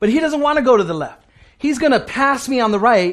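A man speaks at an extremely high pitch with very wide swings, at a fairly quick pace. His tone is animated, and the background is quiet. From US, Puerto Rican family. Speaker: pastor. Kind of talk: sermon.

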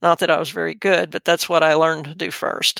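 The speaker talks at a fairly quick pace in a Texan accent. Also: very clean recording, silent background. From Texas Gulf Coast. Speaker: horse trainer. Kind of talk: interview. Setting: studio.

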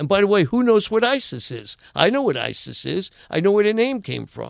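Talking at a fairly quick pace, a man uses a high pitch with big swings and vocal fry.

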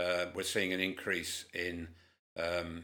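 A man's very deep, low voice with a bright, sharp tone and a northern English accent, monotone and flat in intonation, at a moderate pace. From Cumbria, northern England. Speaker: community group founder. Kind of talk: interview. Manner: hesitant, many fillers.

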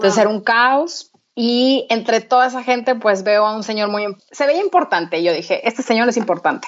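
Fairly high in pitch, a woman with an ordinary speaking voice talks at a moderate pace with lively intonation. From Mexico, Torreón. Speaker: entrepreneur. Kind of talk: interview.

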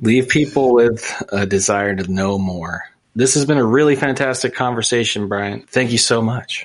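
With an American accent and a plain, everyday voice, a man speaks at a moderate pace in a medium pitch with ordinary pitch variation. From US, small town. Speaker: podcast host. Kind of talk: casual interview chat.

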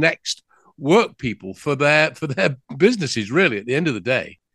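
The background is quiet as a man speaks with an English accent. The sound is dry and close with no echo. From England. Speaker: business news host. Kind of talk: interview. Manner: halting.

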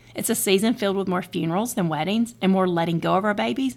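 A woman talks at a fairly quick pace with vocal fry in a very clean recording with a silent background. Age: 40s. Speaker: podcast host and author. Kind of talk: speech at a birthday party. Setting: party with audience.

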